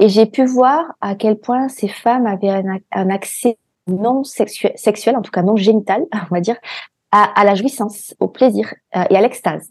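In a dry, close sound with no echo, a woman speaks at a fairly slow pace with a fairly high pitch and ordinary pitch variation. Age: 40s. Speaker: entrepreneur and healer. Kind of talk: interview. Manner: hesitant, many fillers.

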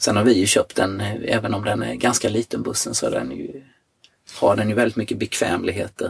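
This is a man with a normal speaking voice. His pitch is fairly low, with ordinary pitch variation. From Sweden, Jönköping. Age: 50s. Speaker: surfer. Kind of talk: casual interview. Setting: in a van.

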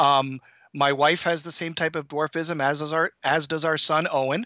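A man with an Ontario accent speaks at a fairly high pitch in a bright, sharp tone, with monotone, flat intonation at a moderate pace. The recording is very clean with a silent background, the sound dry and close with no echo. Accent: Canadian (Ontario) English. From Canada, Toronto. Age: 50s. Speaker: high school math teacher, endurance athlete. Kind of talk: interview, casual chat.

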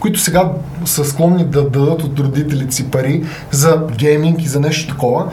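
Noticeable background noise, audible room echo, and a moderate pace. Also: man. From Bulgaria, Sofia. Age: 30s. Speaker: gamer and content creator. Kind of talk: casual interview.

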